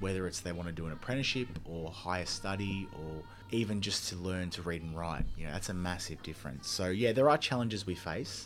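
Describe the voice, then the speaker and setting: A man with an Australian accent talks fairly quickly with hardly any pauses, his very deep, low pitch carrying audible room echo. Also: ordinary pitch variation. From Melbourne, Australia. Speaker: charity worker. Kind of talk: casual interview.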